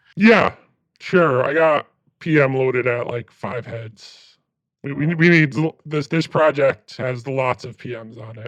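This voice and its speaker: In a put-on character voice, a man sounds raspy and talks at a fairly slow pace. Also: medium pitch for a man. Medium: actual play. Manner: stammering, hesitant.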